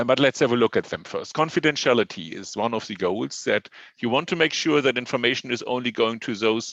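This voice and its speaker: Over a quiet background, a man with a German accent talks at a medium pitch with vocal fry. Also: dry, close sound with no echo. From Germany. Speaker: professor. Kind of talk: lecture. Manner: hesitant, with fillers.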